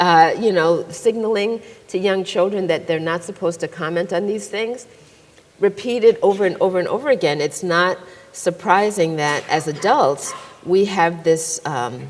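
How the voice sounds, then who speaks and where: A woman speaks in an unremarkable speaking voice at a moderate pace. Her pitch is medium, with ordinary variation. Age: 60s. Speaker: psychologist and author. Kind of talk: moderated panel conversation.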